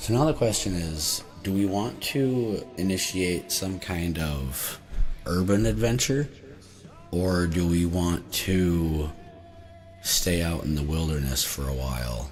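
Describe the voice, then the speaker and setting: With music in the background and audible room echo, a man speaks very slowly in a very deep, low voice with lively intonation. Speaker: tabletop game streamer. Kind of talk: solo game playthrough and rules explanation. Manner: casual, hesitant with many fillers.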